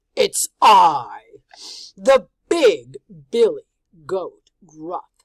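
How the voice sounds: A put-on character voice, high-pitched and hoarse. It speaks at a very slow pace.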